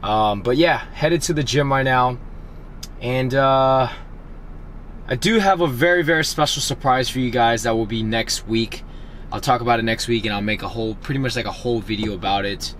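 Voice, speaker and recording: Noticeable noise fills the background. A man talks over it at a fairly quick speed. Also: medium pitch for a man, ordinary pitch variation. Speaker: fitness vlogger. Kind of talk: casual vlog and chat.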